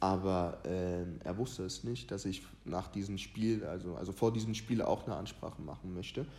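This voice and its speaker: Audible room echo surrounds a man's very deep, low voice with a dark, mellow tone. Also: ordinary pitch variation, moderate pace. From Ghana. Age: 20s. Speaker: youth footballer and motivational content creator. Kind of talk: casual chat.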